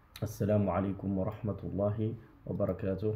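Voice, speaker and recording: A man's fairly low voice comes through with audible room echo. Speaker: imam and religious teacher. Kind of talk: religious lecture.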